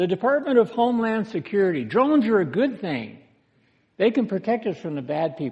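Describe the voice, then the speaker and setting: A man with an American accent talks at a fairly quick pace in a high pitch that swings very widely. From United States. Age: 60s. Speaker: pastor. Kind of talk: sermon.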